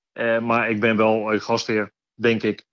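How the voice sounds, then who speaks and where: A man is speaking. He has a slight Rotterdam accent. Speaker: train conductor. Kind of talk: interview.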